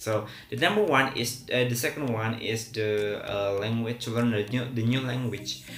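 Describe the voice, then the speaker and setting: With an Indonesian accent and a medium pitch, a man speaks at a moderate pace and with fairly even intonation in audible room echo. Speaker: English teacher. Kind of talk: tutorial. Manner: hesitant, many fillers.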